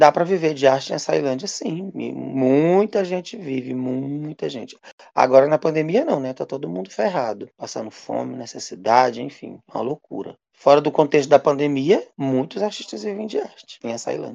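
A man with a fairly high pitch and a dark, mellow tone speaks at a moderate pace with hardly any pauses. His intonation is lively and his loudness swings widely. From Maranhão, northeastern Brazil. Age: 40s. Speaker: writer, actor and theatre director. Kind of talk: interview.

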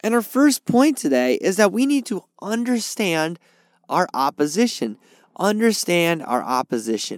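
High pitch from a man at a fairly slow pace, with very wide pitch swings, on a very clean recording with a silent background and a dry, close sound with no echo. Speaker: podcast host and Bible teacher. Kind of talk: sermon-style Bible teaching. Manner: informal, conversational.

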